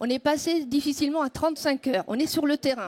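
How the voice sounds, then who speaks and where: A woman's high-pitched voice comes through dry and close, with no echo. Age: 60s. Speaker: town hall secretary. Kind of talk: audience question.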